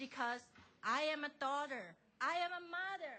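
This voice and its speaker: A woman with a Chinese accent speaks at a high pitch. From China. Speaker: member of the public testifying at a hearing. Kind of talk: public testimony. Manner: halting.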